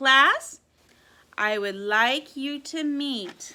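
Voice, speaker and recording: This woman's pitch sits high. She is doing a put-on character voice. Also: lively intonation. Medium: read story. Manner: brisk, authoritative.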